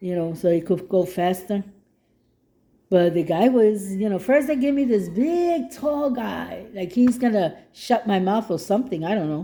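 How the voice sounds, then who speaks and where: The voice has a dark, mellow tone and lively intonation at a moderate pace, in a very clean recording with a silent background. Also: woman, medium pitch for a woman. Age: 60s. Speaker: gardening vlogger. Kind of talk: casual monologue vlog. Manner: halting.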